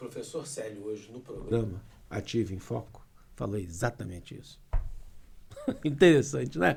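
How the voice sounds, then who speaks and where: Delivered at a moderate pace with lively intonation, the speech has long, frequent pauses and big swings in loudness. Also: man, fairly low pitch for a man. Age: 60s. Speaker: lawyer. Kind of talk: casual chat.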